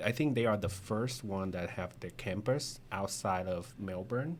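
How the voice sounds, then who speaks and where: A man talks at a fairly slow pace with a Vietnamese accent. His pitch varies in an ordinary way. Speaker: insurance agent. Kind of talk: interview. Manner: halting.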